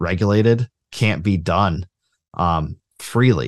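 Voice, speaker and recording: A plain, everyday voice with lively intonation. The sound is dry and close with no echo, over a quiet background. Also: man. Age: 30s. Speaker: libertarian writer and author. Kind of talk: casual interview.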